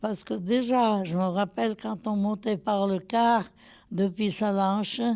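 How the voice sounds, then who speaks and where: At a very slow pace, a woman speaks at a medium pitch in a dark, mellow tone. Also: very clean recording, silent background. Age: 80s+. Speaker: retirement home resident. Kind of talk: interview.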